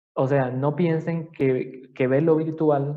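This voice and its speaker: A man speaks very slowly in a fairly high pitch with fairly even intonation. Room echo is audible. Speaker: anatomy professor. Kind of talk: lecture.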